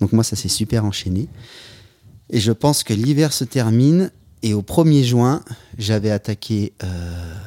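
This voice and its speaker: At a very slow pace with long, frequent pauses, a man with a dark, mellow tone speaks at medium pitch in a dry, close sound with no echo, on a very clean recording with a silent background. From French Alps ski resorts. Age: 40s. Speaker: freeride skier and outdoor athlete. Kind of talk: casual interview chat. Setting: at his home. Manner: hesitant, many repetitions.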